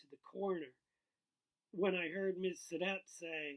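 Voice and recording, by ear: A man's slow speech, high in pitch for a man, fairly bright in tone, with ordinary pitch variation.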